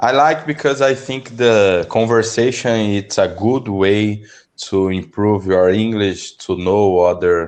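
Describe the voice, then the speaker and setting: A man with a Brazilian accent speaks at a very slow pace with hardly any pauses. His pitch is fairly low, and the background is quiet. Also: ordinary pitch variation. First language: Portuguese. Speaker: English learner. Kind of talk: language lesson conversation. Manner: halting.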